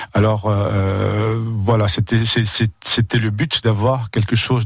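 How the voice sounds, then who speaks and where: The man's voice is fairly low and somewhat breathy, with fairly even intonation. The sound is dry and close, with no echo. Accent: Lebanese. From Lebanon. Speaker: winemaker. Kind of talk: radio interview. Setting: radio studio.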